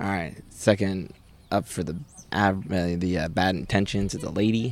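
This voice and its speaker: Very deep, low pitch from a man, a fairly slow delivery, and pitch that rises and falls in an ordinary way. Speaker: podcast host and game commentator. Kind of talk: sports commentary. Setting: outdoors at a rec league softball park.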